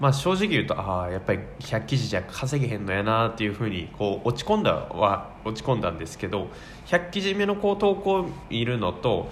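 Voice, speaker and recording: Using very wide pitch swings around a medium pitch, a man speaks at a fairly quick pace. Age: 20s. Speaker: office worker and hobby blogger/YouTuber. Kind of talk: casual solo talk radio monologue. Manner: halting, many fillers.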